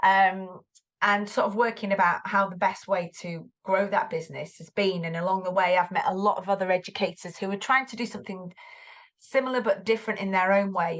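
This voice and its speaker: Speaking in a Mancunian accent, a woman talks at a fairly quick pace with medium pitch and fairly even intonation. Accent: Greater Manchester. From Greater Manchester, northern England. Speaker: tutor and former English teacher. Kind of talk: podcast interview. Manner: hesitant, many fillers and repeats.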